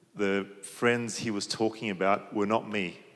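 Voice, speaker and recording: A man's fairly low voice with an Australian accent, monotone and flat, at a fairly slow pace. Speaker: panelist. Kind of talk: panel discussion.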